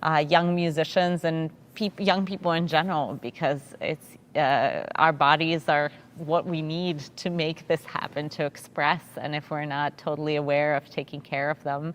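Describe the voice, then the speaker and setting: The voice moves at a moderate pace with monotone, flat intonation. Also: woman, very deep, low pitch for a woman. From Russia (St Petersburg), moved to US as a child. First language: Russian. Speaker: orchestra conductor. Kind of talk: panel interview. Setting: virtual pre-concert talk.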